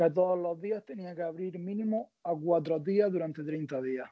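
This is a man with a high voice. His pitch varies in an ordinary way. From Spain, Almería (Andalusia). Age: 20s. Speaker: interviewee sharing his dating experience. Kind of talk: casual interview.

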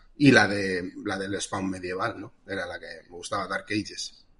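An unremarkable speaking voice from a man, moderate in pace and fairly low in pitch. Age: 30s. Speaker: comic artist. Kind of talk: casual chat.

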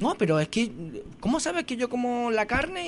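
A man talks while noticeable background noise is heard behind him. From Andalusia, Granada province (small village). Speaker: restaurant owner and chef. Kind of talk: radio interview.

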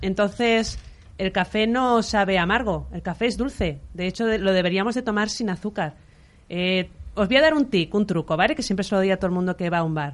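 A woman talks at a fairly quick pace in a normal speaking voice, with a medium pitch and ordinary pitch variation. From Valencia, Spain. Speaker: coffee business owner. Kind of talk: interview.

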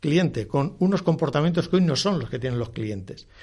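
A man speaks with lively intonation at a fairly high pitch. The background is quiet. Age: 60s. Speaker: former bank executive and author. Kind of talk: interview. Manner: halting, many repetitions.

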